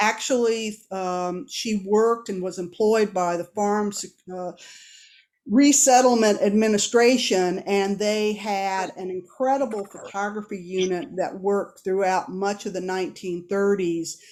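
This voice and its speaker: Her pace is fairly slow. The woman speaks at a medium pitch with ordinary pitch variation. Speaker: retired professor giving an art history talk. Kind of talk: lecture. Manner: hesitant, many fillers.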